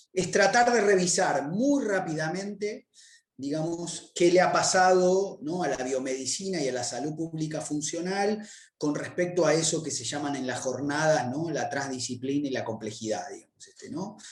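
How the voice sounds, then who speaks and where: Lively intonation and big swings in loudness mark a man's fairly high-pitched voice, heard with audible room echo. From Argentina, Buenos Aires. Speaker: public health researcher, lecturer. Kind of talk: academic lecture. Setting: virtual conference. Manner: fast; hesitant, many fillers.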